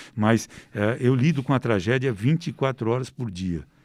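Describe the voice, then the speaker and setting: At a moderate pace, a man with an ordinary speaking voice and ordinary pitch variation is heard in a dry, close sound with no echo, on a very clean recording with a silent background. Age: 60s. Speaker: investigative crime reporter. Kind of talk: interview.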